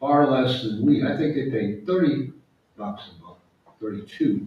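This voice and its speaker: A man of medium pitch speaks in a dark, mellow, somewhat breathy tone with ordinary pitch variation. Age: 70s. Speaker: nature photographer and book author. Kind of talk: audience Q&A at a book talk. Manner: conversational, with hesitations and restarts.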